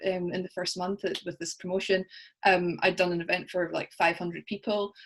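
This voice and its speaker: Her delivery moves at a moderate tempo. She is a woman with a Scottish accent. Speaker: coaching client. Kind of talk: interview.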